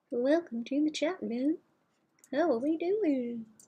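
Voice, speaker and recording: The speaker uses a put-on character voice at a high pitch. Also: fairly slow pace. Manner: playful.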